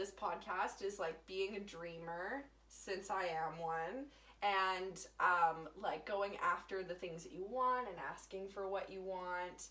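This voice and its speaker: A woman with an unremarkable speaking voice talks at a fairly slow pace and a medium pitch. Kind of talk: casual podcast conversation.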